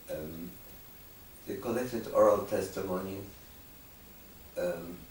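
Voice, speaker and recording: A man speaking at a fairly slow pace, with noticeable background noise and audible room echo. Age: 90s. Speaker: Holocaust survivor and testimony archivist. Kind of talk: interview testimony.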